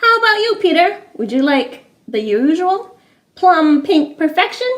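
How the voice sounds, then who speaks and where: A woman's put-on character voice, squeaky and extremely high-pitched, with very wide pitch swings at a moderate pace. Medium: read story. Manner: cheery, showy, alliterative.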